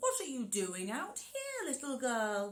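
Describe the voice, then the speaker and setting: Speaking at a fairly slow pace, a woman adopts a high-pitched put-on character voice. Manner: fake-friendly, sweet.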